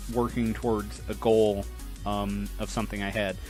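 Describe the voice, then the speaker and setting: A man at a moderate pace, with music playing in the background. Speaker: let's player, voice actor. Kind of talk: casual talk to camera.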